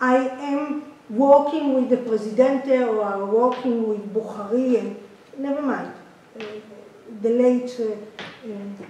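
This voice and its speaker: A woman speaks very slowly in a high pitch with a non-native accent, her intonation fairly even while her loudness swings widely. Noticeable background noise and audible room echo fill the recording. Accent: non-native English, self-described poor. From Israel. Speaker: audience member asking question. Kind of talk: conference Q&A question. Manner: halting.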